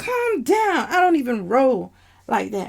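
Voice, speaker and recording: Putting on a character voice, a woman speaks high-pitched at a fairly slow pace. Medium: read story. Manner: gruff, profane.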